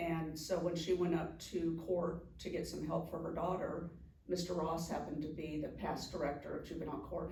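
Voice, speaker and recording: A fairly low-pitched woman's voice with audible room echo. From California, Anaheim. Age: 60s. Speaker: juvenile court director. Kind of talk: casual interview. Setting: sit-down interview with mayor.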